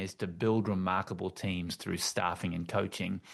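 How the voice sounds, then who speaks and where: Over a quiet background, a man with an Australian accent talks at a moderate pace with fairly even intonation. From Australia, Tasmania. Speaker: author and team-building consultant. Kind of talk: interview conversation. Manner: halting, many repetitions.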